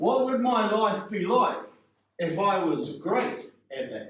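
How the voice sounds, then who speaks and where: A man with a New Zealand accent speaks in a high pitch with lively intonation. His pace is very slow, and audible room echo surrounds the voice. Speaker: public speaking coach. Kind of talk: workshop.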